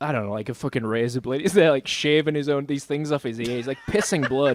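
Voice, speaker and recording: A man talks at a very fast pace in an animated tone with a fairly high pitch. His pitch varies in an ordinary way against noticeable background noise. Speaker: metal band singer. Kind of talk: casual chat.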